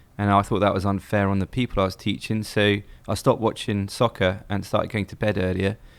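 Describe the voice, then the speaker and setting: Speaking at a very fast pace, a man with an English accent keeps his fairly low voice monotone and flat. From England. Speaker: baseball fan and former teacher. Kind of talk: interview.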